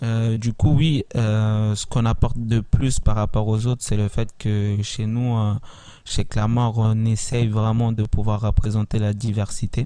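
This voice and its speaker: A man's dark, mellow, medium-pitched voice, monotone and flat, at a fairly slow pace, in a very clean recording with a silent background. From Italy (Milan), Congolese family. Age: 20s. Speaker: talent agency founder. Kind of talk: interview. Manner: hesitant, many fillers.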